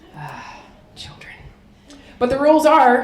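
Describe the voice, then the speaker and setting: A woman with a Chicago accent talks at a moderate pace. Noticeable background noise and audible room echo surround her voice. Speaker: military officer and keynote speaker. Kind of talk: keynote speech.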